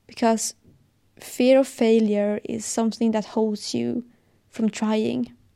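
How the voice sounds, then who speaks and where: Speaking very slowly, a woman has a Swedish accent and a fairly high pitch. Her tone is dark and mellow, with monotone, flat intonation. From Sweden. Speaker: podcast host, fitness and wellness advice creator. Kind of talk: solo podcast monologue, personal and motivational. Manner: halting, searching for words, sincere.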